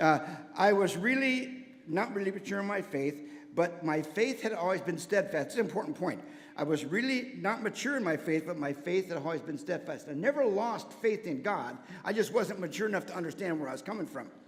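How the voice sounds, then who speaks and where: An energetic man with an American accent talks high and fairly quickly with lively intonation over noticeable background noise. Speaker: church member giving testimony, former teacher. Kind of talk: testimony. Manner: fast.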